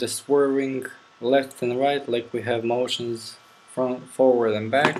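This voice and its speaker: Fairly slow speech in a non-native accent over noticeable background noise. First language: not English. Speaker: game development tutorial maker. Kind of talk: tutorial. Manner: casual, thinking aloud.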